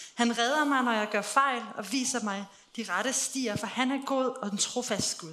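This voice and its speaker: Over noticeable background noise and audible room echo, the speech moves at a moderate pace. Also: woman. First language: Danish. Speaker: interpreter. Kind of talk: live interpretation of a church service.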